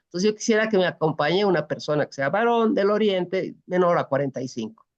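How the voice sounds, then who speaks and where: The woman's medium-pitched voice moves in very wide pitch swings. She talks at a very fast pace. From Bolivia. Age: 60s. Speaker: presidential pre-candidate. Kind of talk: interview.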